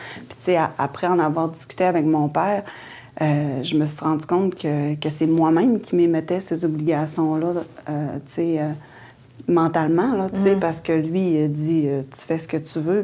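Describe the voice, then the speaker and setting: Very deep and low, a woman's voice has a dark, mellow tone. She talks at a fairly slow pace with ordinary pitch variation. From Quebec, Innu community at Lac-Saint-Jean. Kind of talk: interview, personal life story. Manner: hesitant, many fillers and repetitions.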